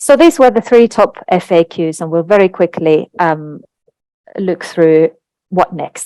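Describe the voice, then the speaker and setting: Speaking at a fairly slow pace in a Finnish accent, a woman with a fairly low pitch has a dark, mellow tone in a dry, close recording with no echo. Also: ordinary pitch variation. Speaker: translation industry executive. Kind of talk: webinar presentation.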